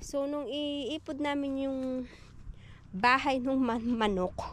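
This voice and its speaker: Light background noise sits under a woman's high-pitched voice, which moves at a fairly slow pace with ordinary pitch variation in a dry sound with no echo. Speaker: garden vlogger. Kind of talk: casual vlog chat. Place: garden. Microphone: phone near.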